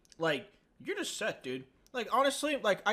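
A man speaks with a bright, sharp tone. His pace is very fast. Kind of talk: casual chat.

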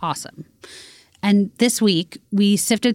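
A woman talks at a moderate pace in a normal speaking voice. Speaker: podcast producer. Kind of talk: casual chat.

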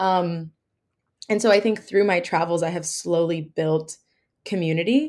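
A woman's ordinary speaking voice, fairly low in pitch and at a fairly quick pace, on a very clean recording with a silent background. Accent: American. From New Jersey. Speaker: travel podcaster and former English teacher. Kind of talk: interview.

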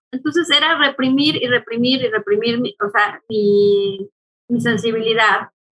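A woman with an ordinary speaking voice talks at a fairly slow pace and a fairly high pitch. Her loudness is very even, with ordinary pitch variation. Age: 40s. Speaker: angel channeler and therapist. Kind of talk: casual interview.

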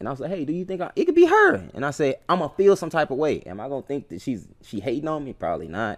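A man's fairly high voice with vocal fry, very fast and with hardly any pauses. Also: lively intonation. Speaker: podcast co-host. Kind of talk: casual chat.

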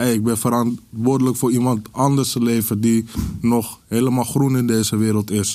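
This man talks at a moderate pace in a medium pitch, his intonation monotone and flat. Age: 30s. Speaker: podcast guest. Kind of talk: casual chat.

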